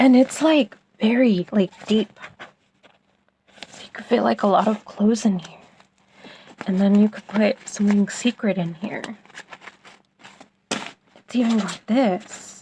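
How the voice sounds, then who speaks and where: Whispering at a fairly slow pace, with big swings in loudness, long frequent pauses, and a dry, close sound free of echo. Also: woman. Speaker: product reviewer. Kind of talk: product review.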